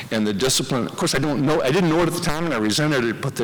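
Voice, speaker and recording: Over noticeable background noise, a man with a Michigan accent speaks with lively intonation. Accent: Midwestern US (Michigan). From Michigan, Dearborn. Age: 60s. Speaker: hall of fame inductee, former swimmer. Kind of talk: acceptance speech.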